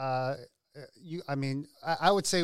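In a very clean recording against a silent background, a man with a plain, everyday voice talks at a fairly slow pace, his pitch fairly high with ordinary variation. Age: 40s. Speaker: lead pastor. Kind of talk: casual chat.

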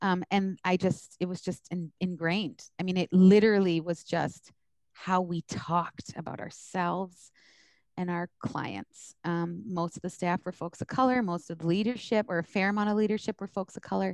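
A woman with an American accent uses an ordinary speaking voice at a moderate pace and medium pitch, her intonation fairly even, in a dry, close sound with no echo. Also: quiet background. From US East Coast. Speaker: social work supervisor and educator. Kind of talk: interview.

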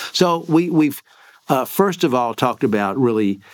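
On a very clean recording with a silent background, a man talks at a moderate pace. His pitch swings very widely. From Kentucky, Lexington. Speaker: professor and education commission chair. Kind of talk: interview. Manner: hesitant, many fillers.

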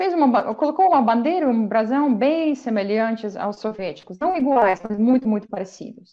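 Speaking at a moderate pace, a woman sweeps through very wide pitch swings. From Belarus. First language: Belarusian or Russian (speaking Portuguese). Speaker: language teacher. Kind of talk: interview.

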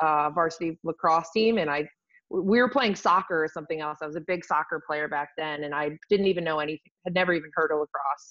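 In an American accent, a woman with an unremarkable speaking voice talks at a fairly low pitch with fairly even intonation against a quiet background. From Rochester, New York. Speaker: lacrosse head coach. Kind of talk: casual interview.

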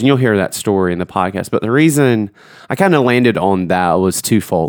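With a Southern US accent, a man is speaking. His pace is moderate. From Georgia. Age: 30s. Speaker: church youth minister and podcast host. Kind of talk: solo podcast intro; casual chat.

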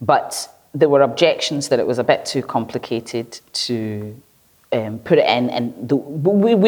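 With a Glaswegian accent, a woman talks at a fairly slow pace in a very deep, low voice that makes very wide pitch swings. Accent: Glaswegian Scottish. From Nigeria (Lagos), then Glasgow East End from age 10. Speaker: researcher and painter. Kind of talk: conversational interview.

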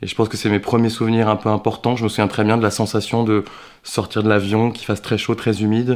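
A man speaks very fast in a fairly low voice. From France. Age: 30s. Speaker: actor. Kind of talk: interview. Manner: hesitant, many fillers.

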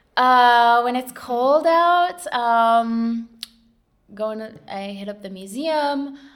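A woman with an American accent speaks very slowly at a high pitch, with ordinary pitch variation. Her loudness swings widely. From southern and central California. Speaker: oral history interviewee, nonprofit worker. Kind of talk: oral history interview. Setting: recording in a library lab. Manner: hesitant, many filler words.

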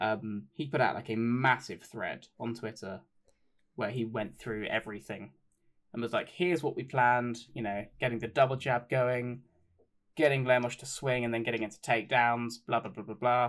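Using a normal speaking voice, a man talks at a moderate pace with fairly even intonation and big swings in loudness. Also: medium pitch for a man. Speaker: podcast co-host. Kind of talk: casual chat about MMA.

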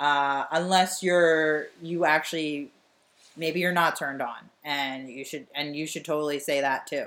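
With an American accent, a woman speaks in a very deep, low voice and fairly even intonation on a very clean recording with a silent background. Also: fairly slow pace. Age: 30s. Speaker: podcast co-host, comedian. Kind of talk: casual chat.

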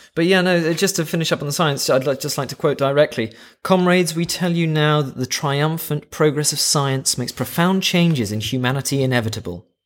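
With hardly any pauses, a man talks at a fairly quick pace in an unremarkable speaking voice, fairly high in pitch and with ordinary pitch variation. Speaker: podcast co-host. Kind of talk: casual chat.

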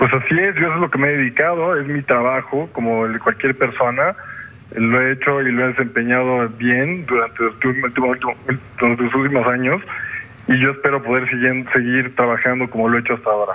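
A man speaks at a fairly quick pace in a medium pitch with fairly even intonation. His loudness stays very even despite noticeable background noise. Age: 40s. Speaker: businessman. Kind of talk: interview. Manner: halting.

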